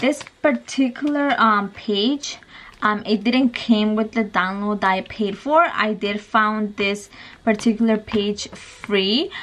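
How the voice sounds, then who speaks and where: The speech moves at a very slow pace. Noticeable background noise is present. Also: woman, fairly high pitch for a woman, ordinary pitch variation. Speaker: mommy vlogger. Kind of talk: casual tutorial vlog.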